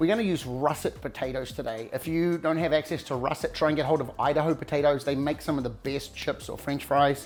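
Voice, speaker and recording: Over faint music in the background, a man with a New Zealand accent speaks at a fairly quick pace, with a fairly high pitch and ordinary pitch variation. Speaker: cooking show host; home cook host. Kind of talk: cooking tutorial. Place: kitchen.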